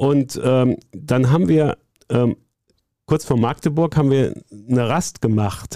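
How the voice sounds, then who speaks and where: Very slowly, with long, frequent pauses, a man speaks at a medium pitch in a dark, mellow tone, with ordinary pitch variation and very even loudness, the sound dry and close with no echo. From Rhineland, Bonn. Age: 60s. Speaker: sports journalist. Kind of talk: storytelling interview. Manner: hesitant fillers (ähm).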